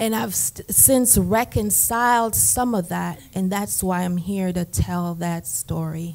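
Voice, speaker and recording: A woman with a Jamaican accent speaks at a very slow pace in a medium pitch, with lively intonation and hardly any pauses. The recording is very clean, with a silent background. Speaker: therapist, conference panelist. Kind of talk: panel testimony.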